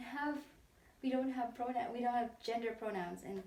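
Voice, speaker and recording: With a slight Filipino accent, a woman speaks at a moderate pace in a high pitch, amid audible room echo and noticeable background noise. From Philippines. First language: Tagalog. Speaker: interviewee. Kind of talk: interview. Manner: halting.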